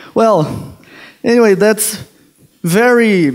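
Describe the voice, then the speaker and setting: A man with a Brazilian accent, ordinary pitch variation and a very slow pace. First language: Portuguese. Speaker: sociologist and PhD student. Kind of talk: conference talk. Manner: halting.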